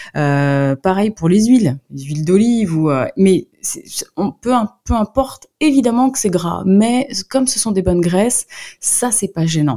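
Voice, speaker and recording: The sound is dry and close, with no echo. A woman with a dark, mellow tone talks at medium pitch and a fairly slow pace, with very wide pitch swings. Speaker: nutritionist and book author. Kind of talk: radio interview. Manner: hesitant, many fillers.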